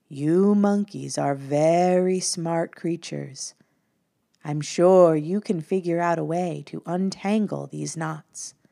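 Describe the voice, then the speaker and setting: A woman's put-on character voice at a fairly low pitch and fairly slow pace, in a very clean recording with a silent background. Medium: read story. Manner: calm, kind.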